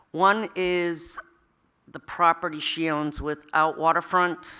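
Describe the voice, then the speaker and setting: Loud and bright with a sharp tone, a woman speaks at a very slow pace on a very clean recording with a silent background. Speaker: town chief assessor. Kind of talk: public meeting presentation. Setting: town hall meeting room. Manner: hesitant, many fillers.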